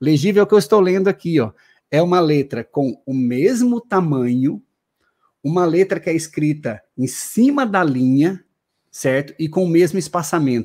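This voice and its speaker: On a very clean recording with a silent background, a man speaks at a moderate pace with lively intonation. His voice is fairly high and has a dark, mellow tone. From Paraná, southern Brazil. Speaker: exam-prep law teacher. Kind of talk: live-stream interview.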